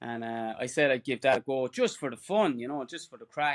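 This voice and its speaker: A man's fairly quick speech in a dry, close sound with no echo. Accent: Irish. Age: 40s. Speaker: ultra runner. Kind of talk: casual chat.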